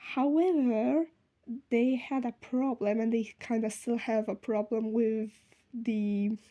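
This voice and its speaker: A woman's dark, mellow voice with a non-native accent, fairly high in pitch, at a very slow pace, with very even loudness and ordinary pitch variation. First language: not English. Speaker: sewing vlogger. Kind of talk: unscripted vlog outro. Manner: halting, many fillers.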